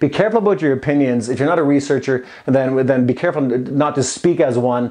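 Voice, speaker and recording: A man races along at a very fast pace, his fairly high voice showing ordinary pitch variation. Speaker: fitness coach and supplement promoter. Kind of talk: casual vlog advice monologue. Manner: halting, many repeats and fillers.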